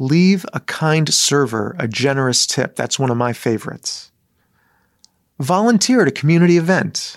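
Lively intonation marks this man's fairly high-pitched voice with a Midwestern American accent. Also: moderate pace. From Michigan, US. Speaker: rabbi. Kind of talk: sermon; storytelling.

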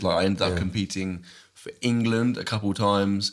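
In a very clean recording with a silent background, a man talks in an unremarkable speaking voice, fairly low in pitch and fairly even in intonation. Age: 30s. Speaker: fitness YouTuber. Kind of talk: casual chat.

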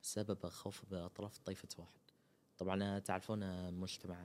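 The speaker is a man. His pitch is fairly low. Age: 20s. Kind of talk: interview. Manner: halting, with frequent pauses and fillers.

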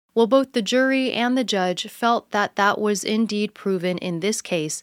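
Recorded dry and close with no echo, a woman with an unremarkable speaking voice talks at a medium pitch and a fairly slow pace. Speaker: news podcast host. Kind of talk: news reading, scripted headline summary. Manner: even, measured, formal.

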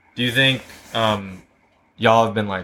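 Here a man talks in an unremarkable speaking voice. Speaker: podcast host. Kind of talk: casual interview. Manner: casual, frequent backchannel.

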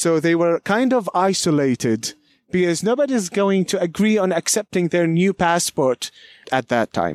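A high-pitched male voice, dry and close with no echo. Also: lively intonation, moderate pace, very even loudness. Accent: Palestinian. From Palestine, Beit Safafa near Jerusalem. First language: Arabic. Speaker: local history guide. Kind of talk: guided walking tour. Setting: outdoors.

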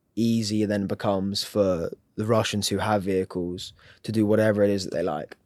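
A man with an English accent speaks at a fairly low pitch and a fairly quick pace, his intonation monotone and flat, on a very clean recording with a silent background. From England. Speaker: humanitarian aid volunteer. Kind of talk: interview.

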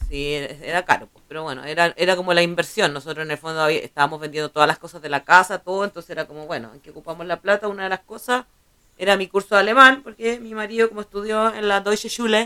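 A woman talks at a very fast pace and a medium pitch, with lively intonation and big swings in loudness. The sound is dry and close, with no echo. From Chile. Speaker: podcast co-host. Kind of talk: casual chat.

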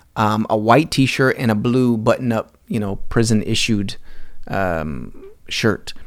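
In a very clean recording with a silent background, a man with an American accent talks at a very slow pace, his medium pitch showing ordinary variation. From US South, South Carolina (Greenville area). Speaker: podcast host, former prisoner. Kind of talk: personal storytelling monologue. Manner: hesitant, many fillers and repetitions.

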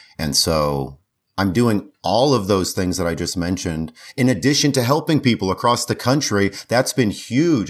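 Speaking at a moderate pace, a man with a plain, everyday voice keeps to a fairly low pitch. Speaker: mobile home investor. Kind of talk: casual interview. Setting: video call.

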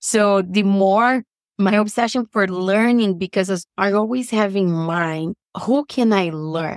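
Speaking at a fairly slow pace, a woman with a Brazilian Portuguese accent keeps her loudness very even. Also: medium pitch for a woman, ordinary pitch variation, dry, close sound with no echo. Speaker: business coach. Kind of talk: interview.

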